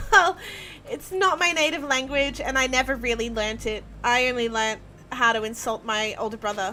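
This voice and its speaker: With an Australian accent, a woman speaks in a high pitch with lively intonation. Noticeable background noise runs underneath. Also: moderate pace. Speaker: video game streamer. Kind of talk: live stream commentary while gaming. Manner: animated.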